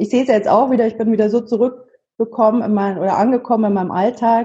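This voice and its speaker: Her voice is fairly high, somewhat breathy and dark, mellow in tone. This woman talks at a fairly quick pace with fairly even intonation. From Munich, Bavaria. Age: 30s. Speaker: double amputee sharing her story. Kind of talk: interview.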